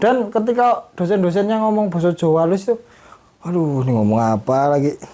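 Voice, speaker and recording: Very fast and very even in loudness, a man with a high pitch and a dark, mellow tone swings his pitch very widely. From Indonesia, Lampung (Sumatra). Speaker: film director and puppeteer student. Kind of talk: interview.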